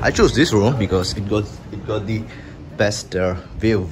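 Amid noticeable background noise, a man speaks at a fairly slow pace with a fairly low pitch. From Sri Lanka. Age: 20s. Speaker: travel vlogger. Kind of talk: travel vlog. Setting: outdoors. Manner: animated.

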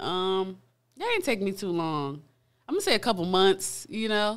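Over a quiet background, a woman with an American accent talks at a medium pitch and a moderate pace. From South Florida, Pompano Beach; Florida. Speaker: recording artist; guest. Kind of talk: casual interview chat. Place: studio. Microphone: studio mic.

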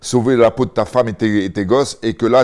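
A plain, everyday voice with fairly even intonation, moving at a moderate pace. The background is quiet. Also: man. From France and England (Paris region, lived in England 6 to 14); France. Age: 40s. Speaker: former MMA fighter, co-host; co-host. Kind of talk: casual chat. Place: home room. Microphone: lapel.

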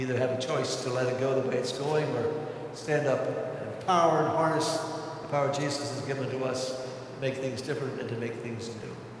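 With strong room echo and noticeable background noise, a man talks at a fairly quick pace in a monotone, flat intonation. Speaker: priest giving homily. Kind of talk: homily urging the congregation to act. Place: church. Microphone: podium.

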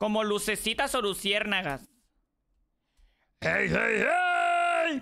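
A woman with a fairly high voice speaks very slowly, her pitch swinging very widely. She leaves long, frequent pauses. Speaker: streamer. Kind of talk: gaming livestream. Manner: loud; animated.

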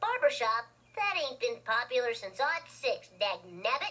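A female-sounding, put-on character voice speaks at a high pitch and a fairly slow pace. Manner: gruff, old-timey drawl.

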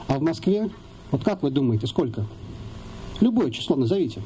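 The voice swings very widely in pitch over light background noise. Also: man. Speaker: rally organizer. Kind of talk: rally speech. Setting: outdoors. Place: forest. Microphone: camera far.

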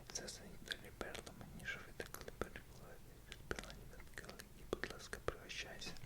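A man whispers over noticeable background noise. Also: moderate pace. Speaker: ASMR creator. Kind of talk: ASMR book reading.

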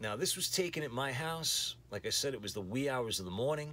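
Lively intonation comes through as a man speaks at a moderate pace. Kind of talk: casual vlog chat. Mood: nostalgic, lightly amused. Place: home room. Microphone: phone near.

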